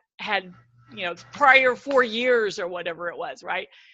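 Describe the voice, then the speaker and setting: A woman projects a raised, high-pitched voice. She keeps a moderate pace. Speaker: speaker and CEO of speakers association. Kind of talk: webinar talk. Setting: webinar. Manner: animated.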